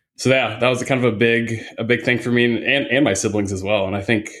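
A man with a normal speaking voice and ordinary pitch variation talks at a fairly quick pace. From US Midwest, Indiana. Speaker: hiking guide and photographer. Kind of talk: casual chat.

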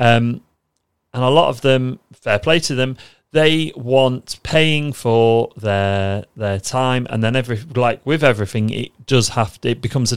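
Speaking at a moderate pace with a British accent, a man keeps a medium pitch and ordinary pitch variation in a very clean recording with a silent background. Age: 30s. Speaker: trading podcast host. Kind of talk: solo podcast monologue.

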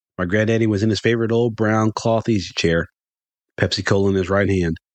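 Fairly quick speech from a man with a Southern US accent. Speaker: podcast host and storyteller. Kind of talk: dramatic storytelling narration, folksy. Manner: animated, expressive, theatrical pacing with gusto.

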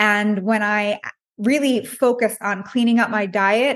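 A woman uses an ordinary speaking voice, fairly high in pitch, with fairly even intonation. Behind her the background is quiet. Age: 30s. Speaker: nutritionist. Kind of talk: interview.

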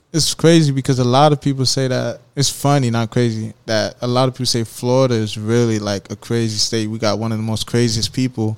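In an ordinary speaking voice of medium pitch, a man talks at a fairly quick pace with fairly even intonation and hardly any pauses. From Haitian-American family. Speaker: podcast host. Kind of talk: podcast interview.

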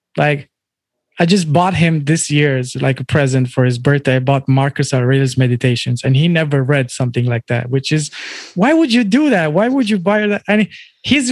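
Using lively intonation, a man with an ordinary speaking voice talks at a moderate pace in a fairly high pitch. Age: 30s. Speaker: DJ and music artist. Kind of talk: interview conversation.

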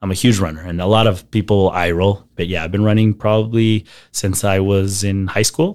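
At a moderate pace, a man with a fairly low pitch and an ordinary speaking voice speaks on a very clean recording with a silent background. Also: fairly even intonation. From US, El Paso, Texas. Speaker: marketer. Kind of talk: interview conversation.

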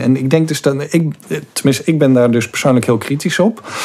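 A man talks at medium pitch with ordinary pitch variation. Noticeable background noise runs behind him. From Zeeland, Netherlands (Goes). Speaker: investigative journalist. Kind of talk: podcast interview.

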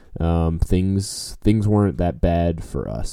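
A man with an American accent speaks at a fairly slow pace with ordinary pitch variation. The recording is very clean, the background silent. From New Orleans, US South. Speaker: podcast host, fundraising consultant. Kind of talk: solo podcast monologue. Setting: home. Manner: casual, frequent fillers.

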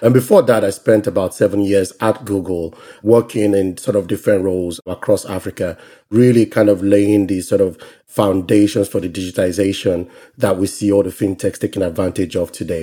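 A man with a Nigerian accent talks at a fairly quick pace, his pitch fairly low. His tone is dark and mellow, and his intonation is fairly even. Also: very clean recording, silent background. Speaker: venture capital investor. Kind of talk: interview.

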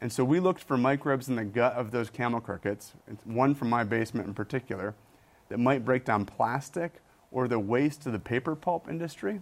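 This man talks at a fairly quick pace with an American accent, medium pitch, ordinary pitch variation and a plain, everyday voice. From Michigan. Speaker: biology professor and author. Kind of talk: interview.

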